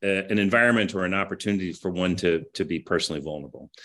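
Here a man speaks with a Midwestern accent. His pitch is fairly low, and his pace is moderate. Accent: General American (Midwest). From US Midwest, Kansas City. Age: 50s. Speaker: business executive. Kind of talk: interview. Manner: halting, many fillers.

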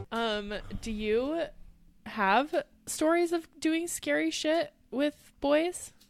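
With music in the background, a woman talks at a very slow pace and a high pitch. Her intonation is lively. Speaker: podcast host. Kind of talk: casual chat. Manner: animated, jokey.

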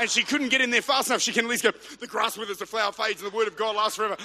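Raised and projected, a man's high-pitched voice with an Australian accent rushes at a very fast pace in an animated tone. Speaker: pastor. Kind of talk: sermon. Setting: church. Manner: animated, rousing preacher in full flow, building momentum with call-and-response; fervent, urgent, punchy repetition.

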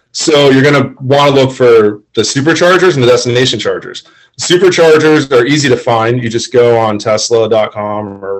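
Using a normal speaking voice, a man with an American accent talks at a fairly quick pace in a medium pitch, with ordinary pitch variation and hardly any pauses. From Florida. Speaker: Tesla owner. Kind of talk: casual chat.

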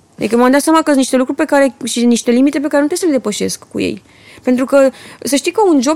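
In a dry, close sound with no echo, a woman talks at a very fast pace with a high pitch. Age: young. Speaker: entrepreneur and mother. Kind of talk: casual chat.

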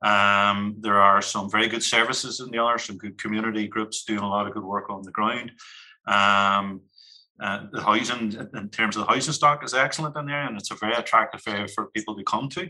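Here a man with a Northern Irish accent talks at a fairly quick pace, his fairly low voice bright and sharp in tone, with fairly even intonation. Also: big swings in loudness. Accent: Derry Northern Irish. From Northern Ireland, Derry (Creggan). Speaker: community organisation manager. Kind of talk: podcast discussion.

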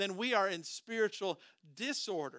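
A man with an American accent speaks at a moderate pace in a high pitch with a bright, sharp tone and ordinary pitch variation. The sound is dry and close, with no echo. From US Midwest, southern Minnesota. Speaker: pastor. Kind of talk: sermon.

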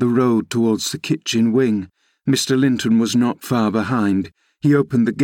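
The background is quiet. The speaker uses a natural reading voice.

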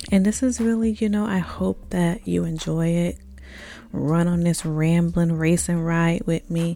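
With noticeable background noise, a woman speaks at a fairly low pitch, with ordinary pitch variation and very even loudness. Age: 30s. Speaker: podcast host. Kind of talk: casual monologue. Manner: animated.

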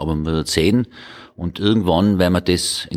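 A man with a very deep, low voice talks at a fairly quick pace. His pitch varies in an ordinary way, and the sound is dry and close with no echo. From North Tyrol, Hall. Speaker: member of parliament. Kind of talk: roundtable discussion. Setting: parliament building.

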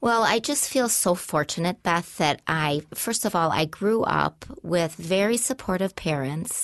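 A woman with a normal speaking voice talks at a fairly low pitch and a fairly slow pace, with hardly any pauses. Her intonation is lively and her loudness very even. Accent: American. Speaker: nonprofit executive director. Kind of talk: casual interview.

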